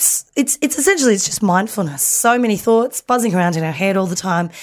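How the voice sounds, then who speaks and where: In an Australian accent, a woman speaks with very wide pitch swings. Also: very clean recording, silent background. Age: 30s. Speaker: comedian. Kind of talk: casual chat.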